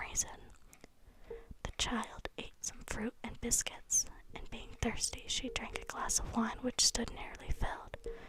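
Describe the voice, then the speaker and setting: Someone whispers at a fairly slow pace. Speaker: podcast host, ASMR reader. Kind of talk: ASMR audiobook reading of a novel. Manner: soft, slow, hushed.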